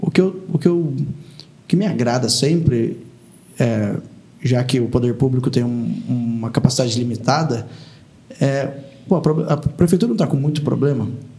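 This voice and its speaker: A man at a medium pitch talks at a moderate pace with ordinary pitch variation and long, frequent pauses, against noticeable background noise. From Taubaté, São Paulo state, Brazil. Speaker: former state legislator. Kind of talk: casual interview.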